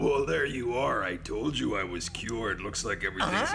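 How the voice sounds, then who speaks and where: Against clear background noise, a man uses a put-on character voice at a moderate pace. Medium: fan dub. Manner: hammy, theatrical.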